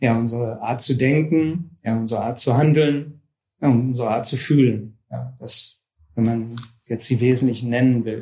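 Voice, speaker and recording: A man speaks at a moderate pace with a dark, mellow, somewhat breathy tone and medium pitch. His intonation is fairly even, and audible room echo surrounds him. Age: 50s. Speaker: yoga and Vedanta teacher. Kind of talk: lecture. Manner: hesitant, many fillers.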